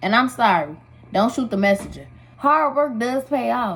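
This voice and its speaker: Somewhat breathy and fairly high-pitched, a woman speaks fairly slowly with lively intonation. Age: 20s. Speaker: makeup artist. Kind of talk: casual talk to camera.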